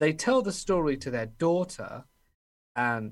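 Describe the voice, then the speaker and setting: In a very clean recording with a silent background, a man speaks with an English accent. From England. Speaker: horror story narrator. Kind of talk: casual interview chat.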